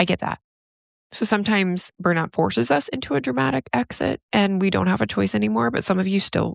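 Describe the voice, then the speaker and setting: A woman talks at a fairly quick pace with vocal fry. Her pitch swings very widely, and the sound is dry and close with no echo. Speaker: psychologist and podcast host. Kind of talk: solo podcast monologue. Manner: casual, conversational.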